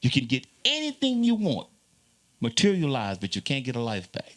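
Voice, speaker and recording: The pitch swings very widely at a fairly quick pace. The recording is very clean with a silent background. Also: man. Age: 60s. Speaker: zydeco musician. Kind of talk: panel conversation.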